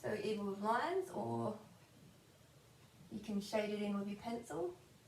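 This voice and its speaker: A woman talks at a moderate speed, with audible room echo and noticeable background noise around her voice. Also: medium pitch for a woman, ordinary pitch variation. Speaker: drawing tutor. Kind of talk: tutorial. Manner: animated.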